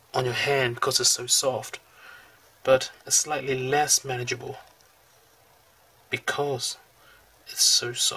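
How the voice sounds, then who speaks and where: Noticeable background noise runs under a man who talks at a very slow pace. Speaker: calligraphy hobbyist. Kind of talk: product review talk over demonstration. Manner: hesitant, many fillers.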